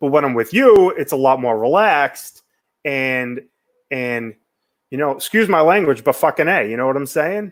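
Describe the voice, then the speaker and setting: A man with a fairly high pitch speaks with lively intonation on a very clean recording with a silent background. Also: moderate pace. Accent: American. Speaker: talk show host, menswear blogger. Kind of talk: casual chat. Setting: live stream.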